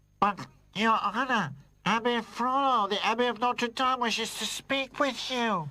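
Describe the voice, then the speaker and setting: Using a cartoonish character voice, a woman speaks fairly slowly at a fairly high pitch. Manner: respectful, addresses master as Your Honor.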